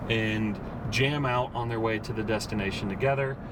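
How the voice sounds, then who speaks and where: Fairly quick male speech amid noticeable background noise and audible echo from the room. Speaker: car reviewer. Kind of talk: car review while driving. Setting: in a car. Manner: more formal camera voice.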